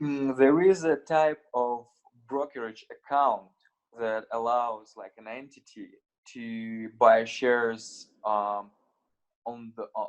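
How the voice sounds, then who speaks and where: In a Russian accent, a man speaks very slowly at a medium pitch, leaving long, frequent pauses. His loudness swings widely, while his pitch varies in an ordinary way. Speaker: crypto exchange founder. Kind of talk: interview. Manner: halting.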